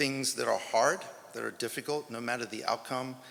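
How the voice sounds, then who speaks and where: A man with an American accent, at a moderate pace. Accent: sounds American. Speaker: track and field head coach. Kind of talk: press conference speech. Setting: press conference.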